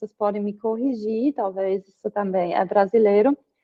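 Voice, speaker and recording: A woman speaks with a German accent. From Germany. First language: German (speaking Portuguese). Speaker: psychoanalysis student presenting final paper. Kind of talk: academic presentation and discussion. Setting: video call. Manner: hesitant with fillers.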